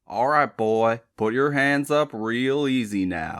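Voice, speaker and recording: Putting on a character voice in a Southern US accent, a man drawls at a fairly slow pace and medium pitch with ordinary pitch variation, in a very clean recording with a silent background. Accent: Southern rural. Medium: read story. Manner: gruff, drawling, clipped orders.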